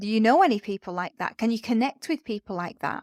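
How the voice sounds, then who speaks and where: A woman with a northern English accent, fairly high-pitched with lively intonation, in a dry, close sound with no echo on a very clean recording with a silent background. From northern England. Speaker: podcast host, education business mentor. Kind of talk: solo podcast talk.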